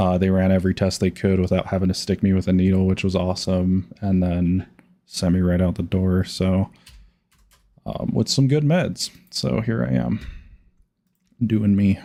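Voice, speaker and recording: A man speaks at a very deep, low pitch with a dark, mellow tone and ordinary pitch variation. His moderate pace has long, frequent pauses and very even loudness. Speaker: gambling livestreamer. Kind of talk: casual livestream chat. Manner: casual with many fillers.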